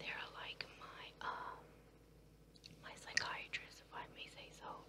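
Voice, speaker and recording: Whispering at a very slow pace, the speaker is heard through noticeable background noise. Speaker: ASMR creator. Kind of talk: casual talk to camera. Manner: whispered.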